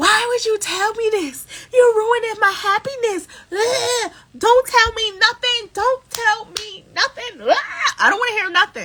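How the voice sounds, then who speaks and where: Someone shouts in a put-on character voice at an extremely high pitch. The pace is moderate. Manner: yelling, frantic, upset.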